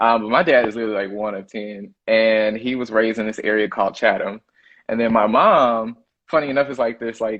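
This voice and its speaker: This man has a Southern US accent and a medium pitch. His intonation stays fairly even. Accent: Southern drawl and twang. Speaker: chef. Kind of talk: interview. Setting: live stream. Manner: casual, filler-heavy.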